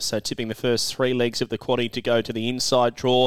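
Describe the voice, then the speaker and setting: A man speaks with an Australian accent on a very clean recording against a silent background. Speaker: greyhound racing podcast host and tipster. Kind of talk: racing tips podcast.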